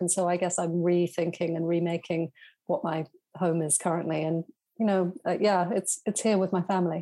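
In a British accent, a woman speaks at a fairly low pitch and moderate pace with a dark, mellow tone. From southern England. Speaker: writer and journalist. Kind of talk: interview conversation. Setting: home office.

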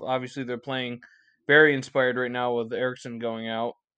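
A plain, everyday voice at a moderate pace. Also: man. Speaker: podcast host. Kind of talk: casual chat.

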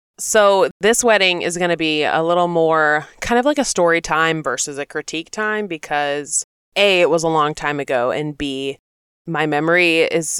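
A woman's plain, everyday voice, fairly low in pitch, at a fairly slow pace with ordinary pitch variation, dry and close with no echo, on a very clean recording over a silent background. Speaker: podcast co-host. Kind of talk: casual chat.

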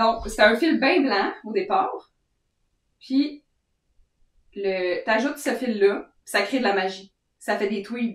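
In a Quebec accent, a woman with a fairly high pitch and lively intonation speaks with long, frequent pauses. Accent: Québécois French. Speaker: knitting podcast co-host. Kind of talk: casual chat.

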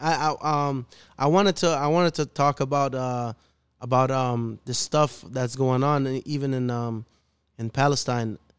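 Moderate pace in a Chicago urban accent, with a dry, close sound and no echo. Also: man, medium pitch for a man. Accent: Chicago urban American English. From Chicago, north side. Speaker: rapper. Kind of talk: casual chat. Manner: animated.

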